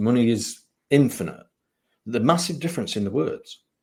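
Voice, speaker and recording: Fairly quick male speech full of lively intonation. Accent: English. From England, Lincolnshire (East Midlands). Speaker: spiritual mentor and psychic medium. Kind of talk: interview conversation.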